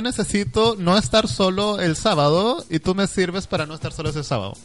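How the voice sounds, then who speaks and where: In a Chilean accent, someone speaks at a fairly quick pace with lively intonation. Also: man. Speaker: online radio co-host. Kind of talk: casual chat.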